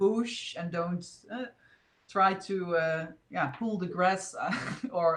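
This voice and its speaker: A woman with a Dutch accent speaks at medium pitch and a very slow pace, with fairly even intonation. Long, frequent pauses fill the recording, and audible room echo surrounds her. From Netherlands. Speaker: spiritual video host. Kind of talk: casual chat. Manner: halting.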